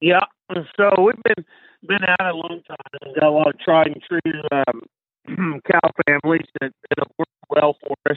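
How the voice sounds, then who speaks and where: A man with a fairly high pitch, a fairly slow pace, and big swings in loudness. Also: ordinary pitch variation. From Kansas, Flint Hills. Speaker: cattle rancher and bull buyer. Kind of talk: interview.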